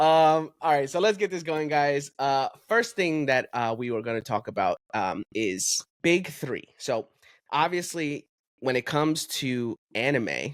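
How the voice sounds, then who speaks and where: In an ordinary speaking voice, a man talks at a fairly slow pace with lively intonation and fairly high pitch, the sound dry and close with no echo on a very clean recording with a silent background. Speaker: podcast host. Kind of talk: casual chat.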